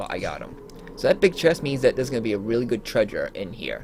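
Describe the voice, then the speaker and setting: Background music can be heard. The talking runs at a fairly quick pace. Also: man. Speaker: gaming video creator. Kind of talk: gameplay commentary. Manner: animated.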